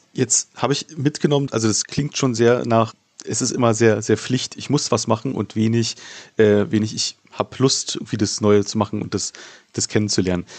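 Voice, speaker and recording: A man with an unremarkable speaking voice, medium in pitch, at a moderate pace and with fairly even intonation. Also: dry, close sound with no echo. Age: 30s. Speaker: podcast host. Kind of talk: interview.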